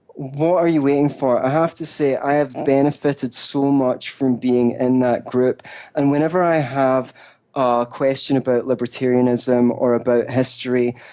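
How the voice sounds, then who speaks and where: Someone with a Scottish accent speaks at a moderate pace, keeping a very even loudness and fairly even intonation. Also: man, medium pitch for a man. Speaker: libertarian writer and podcaster. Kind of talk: casual interview chat. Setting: phone call.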